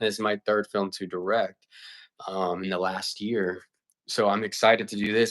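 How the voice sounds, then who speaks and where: A man with an American accent, animated in tone, at a fairly quick pace, on a very clean recording with a silent background. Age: 20s. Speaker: filmmaker and livestreamer. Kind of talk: casual livestream chat. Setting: livestream. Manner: fast.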